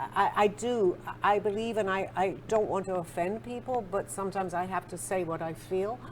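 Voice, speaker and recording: Vocal fry runs through this moderate-paced speech, which has hardly any pauses. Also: woman, medium pitch for a woman, ordinary pitch variation. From England. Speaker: spiritual author being interviewed. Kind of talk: interview conversation.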